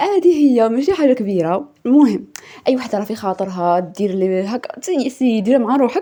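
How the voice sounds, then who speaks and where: Her voice has a dark, mellow tone at a fairly high pitch. The woman's pitch swings very widely. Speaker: YouTuber. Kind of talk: tutorial. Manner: fast.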